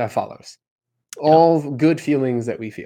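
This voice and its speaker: This man speaks at a fairly quick pace with a dark, mellow tone. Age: 30s. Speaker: career coach. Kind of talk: casual chat.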